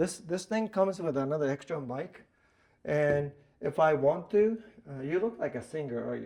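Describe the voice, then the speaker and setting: With a Japanese accent, a man speaks at a moderate pace in a fairly high pitch. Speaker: pool instructor. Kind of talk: workshop presentation. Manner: halting.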